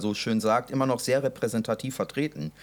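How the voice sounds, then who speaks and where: This very clean recording with a silent background captures a man speaking at a medium pitch. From Westphalia, Germany. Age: 20s. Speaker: podcast co-host. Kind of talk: casual chat.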